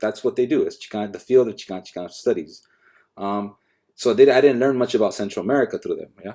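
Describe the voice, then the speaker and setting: A man in a Los Angeles accent with a dark, mellow tone. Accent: Los Angeles (Angeleno). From Los Angeles, Echo Park. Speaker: professor. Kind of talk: academic panel conversation. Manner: halting, many repetitions and fillers.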